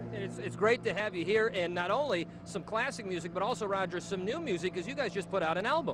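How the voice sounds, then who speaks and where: At a very fast pace and with a Boston accent, the speaker sounds upbeat, with ordinary pitch variation over noticeable background noise. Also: man, high pitch for a man. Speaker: TV news reporter. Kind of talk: live TV interview.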